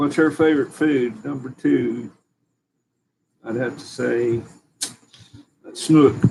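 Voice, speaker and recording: A man with an Appalachian accent speaks at a very slow pace and a medium pitch, with fairly even intonation. He leaves long, frequent pauses. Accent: Southern US, Appalachian. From East Tennessee, Dandridge. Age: 60s. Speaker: homestead channel co-host. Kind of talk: casual chat. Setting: live stream at home.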